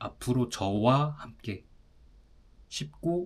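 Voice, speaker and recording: A man at medium pitch. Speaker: language teacher. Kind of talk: language lesson monologue. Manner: slow; clear.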